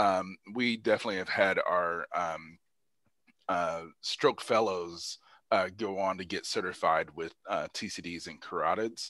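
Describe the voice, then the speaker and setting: In a very clean recording with a silent background, a man with an Indiana accent talks at a fairly slow pace, his loudness swinging widely. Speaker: neurologist, guest lecturer. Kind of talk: Q&A after a lecture. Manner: halting, many fillers.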